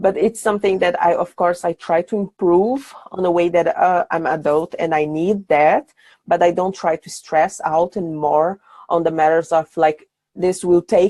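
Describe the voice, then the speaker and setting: Dark, mellow tone from a woman with a Portuguese accent, fairly low pitch, fairly even intonation, moderate pace, in a dry, close sound with no echo. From Brazil, Sao Paulo. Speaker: brand designer. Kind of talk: podcast interview. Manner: halting.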